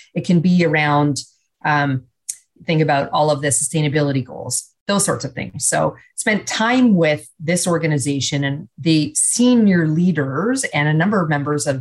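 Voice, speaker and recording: A woman's very deep, low voice, somewhat breathy, with lively intonation, a moderate pace and a Canadian accent. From Canada. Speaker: business executive and leadership speaker. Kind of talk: radio interview.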